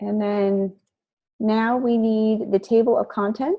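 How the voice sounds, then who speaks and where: A woman speaks at a fairly high pitch with fairly even intonation. It is an ordinary speaking voice. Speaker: college instructor. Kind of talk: tutorial.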